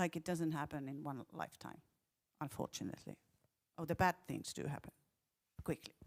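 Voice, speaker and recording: A woman with a very deep, low pitch and vocal fry, at a fairly quick pace with long, frequent pauses and ordinary pitch variation, in a dry, close sound with no echo. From Finland, Helsinki. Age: 60s. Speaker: festival director. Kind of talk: panel discussion. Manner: halting.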